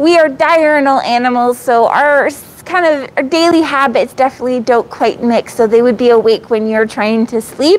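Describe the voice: Pauses are few. The pace is moderate, with ordinary pitch variation. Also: woman, high pitch for a woman.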